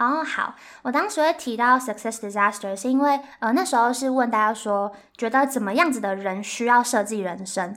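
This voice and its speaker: A high-pitched woman with a Taiwanese accent, ordinary pitch variation and a moderate pace. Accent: Taiwanese Mandarin. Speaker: graduate student and career-planning workshop co-founder. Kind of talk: casual interview.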